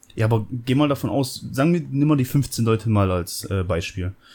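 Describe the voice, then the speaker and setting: At a moderate pace, the voice has a dark, mellow tone and lively intonation on a very clean recording with a silent background. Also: man. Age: 30s. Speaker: podcast co-host. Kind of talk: casual chat.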